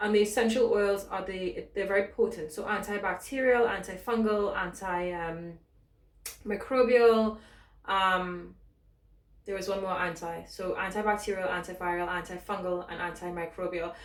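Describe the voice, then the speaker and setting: In a British accent, a woman speaks with fairly even intonation amid audible room echo. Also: medium pitch for a woman. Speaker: fitness instructor. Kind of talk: tutorial. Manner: fast; casual.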